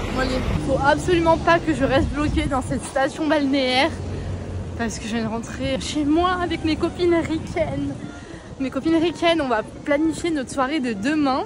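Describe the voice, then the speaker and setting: A loud woman's voice, high in pitch, with ordinary pitch variation, a moderate pace, audible room echo and crowd noise in the background. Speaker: travel vlogger. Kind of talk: casual vlog monologue. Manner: animated.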